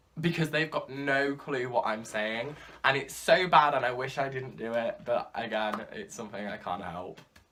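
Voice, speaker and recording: With a British accent and lively intonation, a man speaks at a fairly high pitch and moderate pace, his volume swinging widely. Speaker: YouTuber. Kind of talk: casual vlog monologue. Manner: loud.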